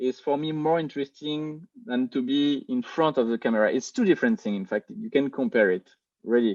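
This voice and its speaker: With a French accent, a man speaks at a fairly high pitch, his voice making very wide pitch swings. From France. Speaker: film director. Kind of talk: interview. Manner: halting, many fillers and repeats.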